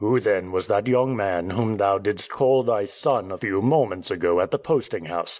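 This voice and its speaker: A man puts on a raspy character voice with a fairly low pitch. His loudness stays very even, and he hardly pauses at all. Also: moderate pace. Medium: read story. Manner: curt, menacing.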